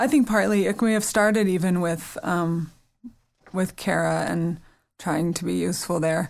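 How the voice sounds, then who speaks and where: A woman with a fairly low pitch speaks at a moderate pace, with ordinary pitch variation and an ordinary speaking voice. The recording is very clean, with a silent background. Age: 40s. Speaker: guest, friend of the late author. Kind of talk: casual chat. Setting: studio.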